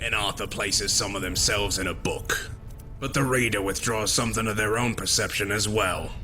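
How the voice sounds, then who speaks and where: Over clear background noise, a man puts on a cartoonish character voice at a fairly low pitch, with a calm tone and a fairly quick pace. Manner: measured, calm, lofty.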